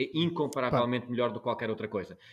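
A man's medium-pitched voice at a very fast pace. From Portugal, Algarve. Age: 40s. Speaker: journalist. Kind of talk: interview. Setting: video call. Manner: halting, many repetitions.

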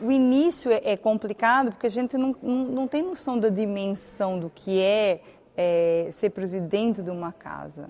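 With a dark, mellow tone and lively intonation, a woman talks at a fairly slow pace in a fairly high voice. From Portugal, Algarve. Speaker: lawyer and community association president. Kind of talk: interview.

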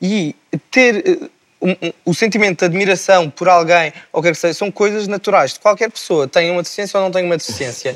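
A man speaks at a fairly quick pace in a high pitch with ordinary pitch variation. The sound is dry and close, with no echo. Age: 20s. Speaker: medical student, wheelchair user. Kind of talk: TV panel discussion.

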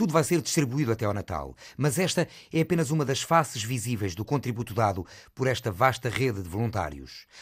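Fairly quick male speech at a medium pitch, with very wide pitch swings and vocal fry, in a very clean recording with a silent background. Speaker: radio reporter. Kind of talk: field reporting narration.

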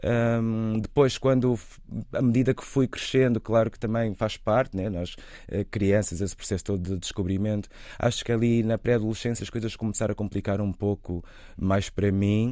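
Fairly low in pitch, a man's dark, mellow voice holds a fairly even intonation. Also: moderate pace. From Angola. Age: 40s. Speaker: actor. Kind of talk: interview.

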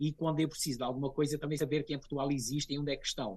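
Somewhat breathy, a man talks at a fairly high pitch. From Azores, São Miguel. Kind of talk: interview.

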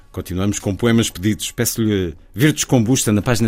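A man with a European Portuguese accent speaks at a fairly low pitch with lively intonation. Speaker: radio host. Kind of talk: radio interview.

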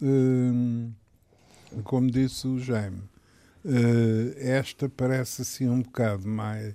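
A man's medium-pitched voice with a dark, mellow tone, a very slow pace, fairly even intonation and long, frequent pauses. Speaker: political commentator. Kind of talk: casual political debate. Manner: halting, hesitant.

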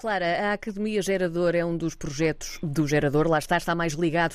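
A woman with a European Portuguese accent, fairly low-pitched for a woman, speaking at a fairly quick pace with fairly even intonation. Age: 30s. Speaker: radio host. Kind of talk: interview.

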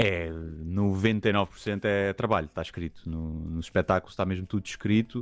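Speaking at a fairly slow pace against a quiet background, a man has a very deep, low pitch. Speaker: comedian. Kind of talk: radio interview. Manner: reserved.

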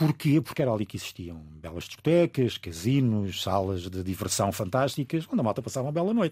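A dark, mellow tone moves through very wide pitch swings at a very fast pace in a very clean recording with a silent background. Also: man, medium pitch for a man. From Angola. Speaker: radio broadcaster. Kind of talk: casual chat.

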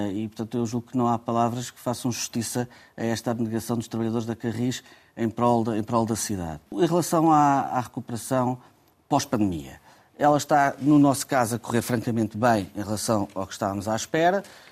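In a very clean recording with a silent background, a man talks fairly quickly at a medium pitch. His loudness swings widely while his pitch varies in an ordinary way. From Portugal. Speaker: transport company president. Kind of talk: radio interview. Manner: halting, frequent repetitions.

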